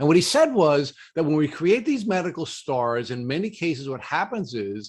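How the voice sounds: A man with a New York accent and a slightly husky edge, big pitch swings, at a moderate pace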